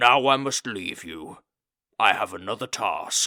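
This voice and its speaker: A man's put-on character voice, raspy and booming at medium pitch and a fairly slow pace, on a very clean recording with a silent background. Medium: read story. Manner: flat, formal, literal.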